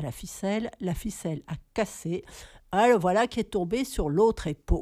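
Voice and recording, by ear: This is someone reading aloud. The delivery is in a natural voice.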